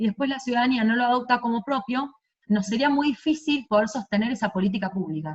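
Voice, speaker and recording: A woman's somewhat breathy voice races along at a very fast pace. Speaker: city government director. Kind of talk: virtual presentation. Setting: video call.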